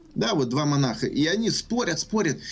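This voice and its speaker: Somewhat breathy, this man has a fairly high voice. His pitch swings very widely. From Ukraine, Kyiv. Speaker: success coach. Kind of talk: radio interview.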